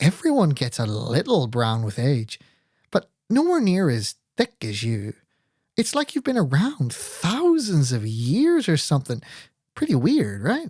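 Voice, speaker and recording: Putting on a character voice, a man speaks in a husky, fairly high pitch. The sound is dry and close with no echo, and his pace is fairly slow. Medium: read story. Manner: flirtatious, giggly.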